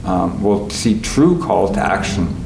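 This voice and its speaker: Amid noticeable background noise and audible room echo, a man with a Canadian accent speaks at a fairly low pitch. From Canada, Winnipeg, Manitoba. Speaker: composer and conductor. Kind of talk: interview reflection. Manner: halting, many fillers.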